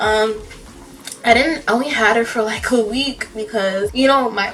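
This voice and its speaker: A quiet woman at fairly high pitch, ordinary pitch variation, and a moderate pace, with noticeable background noise and audible room echo. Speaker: makeup artist and painter vlogger. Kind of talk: casual vlog talk. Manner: talking quietly.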